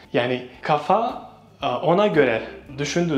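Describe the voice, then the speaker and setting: A man talks with lively intonation at a fairly high pitch. Noticeable background noise and audible room echo surround him. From Bosnia and Herzegovina. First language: Bosnian (speaking Turkish). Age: 20s. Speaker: Turkish language teacher. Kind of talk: interview. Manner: hesitant with fillers.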